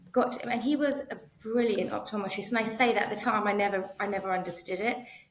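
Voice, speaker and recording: At a very fast pace, a woman with medium pitch and fairly even intonation speaks amid audible room echo and noticeable background noise. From North East London, England. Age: 40s. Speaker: optometrist. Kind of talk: interview conversation. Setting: podcast.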